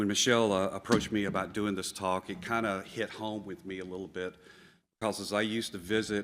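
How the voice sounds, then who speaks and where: Speaking in a Southern US accent at a fairly quick pace, the voice stays monotone and flat on a very clean recording with a silent background. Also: man. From US South. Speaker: plant tissue culture scientist. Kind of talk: conference talk. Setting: stage with audience.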